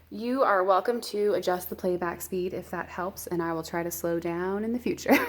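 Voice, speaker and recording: A woman talks at a medium pitch with ordinary pitch variation and hardly any pauses. Noticeable background noise runs underneath. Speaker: planner YouTuber and nurse. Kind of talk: casual vlog tutorial. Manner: fast.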